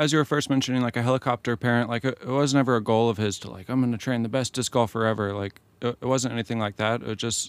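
A man with an American accent talks very fast with fairly even intonation. The sound is quiet, dry and close, with no echo. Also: very clean recording, silent background. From US, military family moving around. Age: 30s. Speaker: professional disc golfer. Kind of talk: interview. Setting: van studio. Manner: quiet, unassuming; halting with repeated words.

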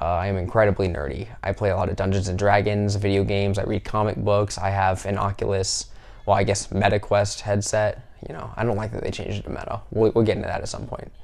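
Someone with an American accent talks at a very fast pace with fairly even intonation and vocal fry. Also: man, fairly low pitch for a man. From US South. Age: 20s. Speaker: podcaster. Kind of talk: casual monologue. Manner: halting.

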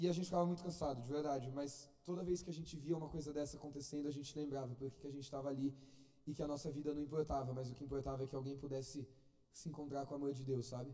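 A man's fairly high yet dark, mellow voice at a very fast pace, monotone and flat, with audible room echo. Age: 20s. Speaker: lay preacher. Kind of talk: sermon.

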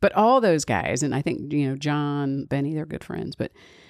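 On a very clean recording with a silent background, a woman speaks with a very deep, low pitch. Her delivery is animated, with lively intonation and a moderate pace. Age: 60s. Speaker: podcast host. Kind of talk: casual monologue.

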